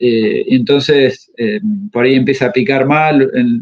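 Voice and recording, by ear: A man speaks at a medium pitch. His intonation stays fairly even.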